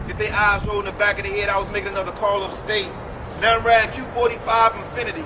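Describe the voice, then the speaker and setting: A man with an American accent speaks at a very fast pace in a high, monotone, flat voice. Noticeable background noise can be heard. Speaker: spoken word artist. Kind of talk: spoken word poetry performance.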